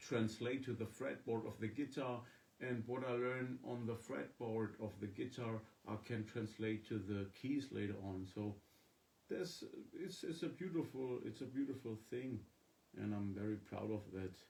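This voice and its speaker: Somewhat breathy, a man speaks at a moderate pace. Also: medium pitch for a man, ordinary pitch variation. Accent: German. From Germany. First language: German. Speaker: musician. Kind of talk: casual live-stream chat. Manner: halting.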